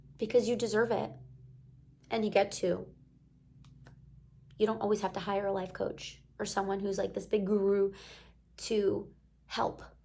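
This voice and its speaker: At a moderate pace, a woman with a medium-pitched voice and a dark, mellow tone speaks in a flat monotone with vocal fry, leaving long, frequent pauses. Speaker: life coach and self-development vlogger. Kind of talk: casual motivational talk to camera. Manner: lower energy than usual.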